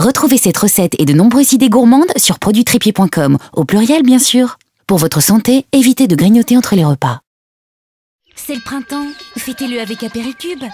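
A woman with a fairly high pitch and very wide pitch swings, at a moderate pace, dry and close with no echo, music in the background. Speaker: voice actor. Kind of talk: TV commercial read.

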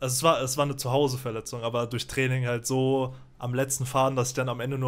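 The pace is very fast. Intonation stays monotone and flat. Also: man. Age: 20s. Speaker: streamer; guest. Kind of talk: casual chat. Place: home room. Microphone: studio mic.

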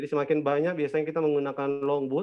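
Very fast, monotone delivery from a man, flat in intonation, against a quiet background. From Manado, North Sulawesi; North Sulawesi. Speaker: tour operator; presenter. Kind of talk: online presentation. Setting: video call. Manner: halting, many fillers. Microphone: video call.

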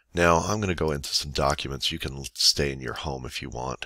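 A man with a very deep, low pitch, vocal fry and a bright, sharp tone. The sound is dry with no echo, over a quiet background. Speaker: teacher. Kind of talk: software tutorial screencast. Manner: quiet, monotone. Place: home room.

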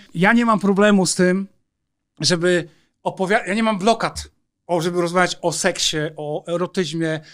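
At a moderate pace, a man with a high pitch and fairly even intonation pauses long and often, in a very clean recording with a silent background. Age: 50s. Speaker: former soldier, counterintelligence agent and undercover police officer. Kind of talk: casual interview.

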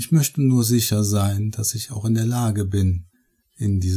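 Set against a quiet background, this is an unforced reading voice.

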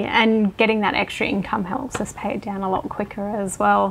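Speaking with an Australian accent, a woman keeps her intonation fairly even. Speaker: homeowner. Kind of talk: home tour interview.

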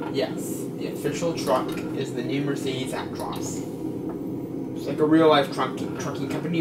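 Loud background noise runs under a man's speech. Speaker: gamer commentating. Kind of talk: casual gameplay commentary. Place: home room.

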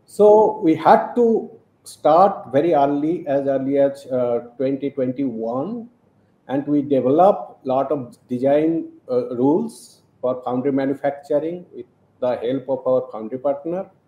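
Audible room echo surrounds a man speaking. His pitch is fairly high and his pace fairly slow. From India. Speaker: professor and quantum photonics researcher. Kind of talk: interview. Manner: hesitant with fillers. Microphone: video call.

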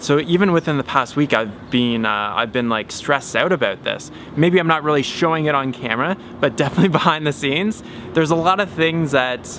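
With light background noise and a dry sound with no echo, a man talks at a very fast pace with ordinary pitch variation. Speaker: DIY builder vlogger. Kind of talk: casual vlog chat. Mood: reflective, slightly stressed. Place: garden. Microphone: phone near.

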